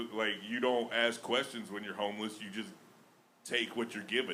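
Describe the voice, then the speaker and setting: Heard with audible room echo, the speaker has a Southern US accent and ordinary pitch variation. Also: man. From Alabama. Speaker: stand-up comedian. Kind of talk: stand-up. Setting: stage with audience.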